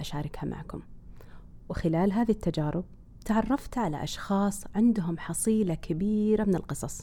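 At a moderate pace and medium pitch, a woman speaks in a dark, mellow, somewhat breathy tone. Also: very clean recording, silent background. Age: 40s. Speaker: podcast host. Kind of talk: scripted narration.

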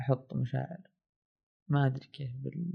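A man at a fairly high pitch with fairly even intonation and a moderate pace. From Saudi Arabia, Asir region (mountain village). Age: 20s. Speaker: documentary filmmaker. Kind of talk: casual storytelling.

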